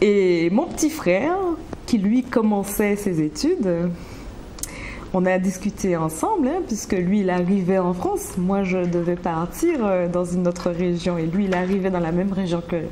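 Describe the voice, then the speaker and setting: A woman's medium-pitched voice with ordinary pitch variation and very even loudness, at a fairly slow pace, with audible room echo and noticeable background noise. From Martinique, Rivière-Pilote. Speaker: business manager. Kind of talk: interview. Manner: halting, many hesitations.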